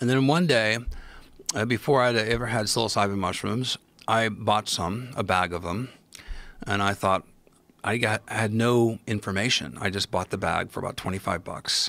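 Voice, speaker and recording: With a Midwestern US accent, this man has a bright, sharp tone, a fairly low pitch and ordinary pitch variation. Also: moderate pace. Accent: US Midwest. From Ohio, US Midwest. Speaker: podcast guest, mycology expert. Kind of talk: casual interview storytelling. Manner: animated.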